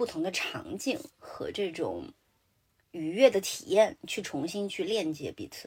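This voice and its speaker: Speaking very slowly, a woman with a fairly high, somewhat breathy voice swings very widely in pitch and makes big shifts in loudness. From Sichuan, China. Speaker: podcast host. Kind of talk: casual chat. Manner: mixes English words into Mandarin.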